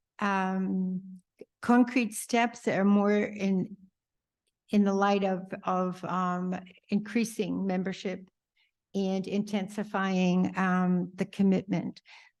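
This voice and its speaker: Over a quiet background, a woman speaks very slowly at a medium pitch in a monotone, flat way. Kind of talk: group report-back. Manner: halting.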